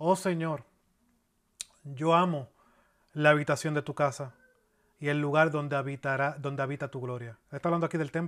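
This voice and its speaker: A man's fairly high voice at a moderate pace, with fairly even intonation, long and frequent pauses, and a very clean recording over a silent background. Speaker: pastor. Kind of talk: sermon. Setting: church. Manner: earnest, expository preaching, steady teaching pace with pauses and repeats.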